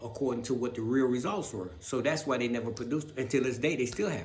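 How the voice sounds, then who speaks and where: Noticeable background noise and audible room echo surround a man talking at a medium pitch. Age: 60s. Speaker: video blogger. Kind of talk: personal monologue to camera. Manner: halting, stumbling; unscripted, rambling speech.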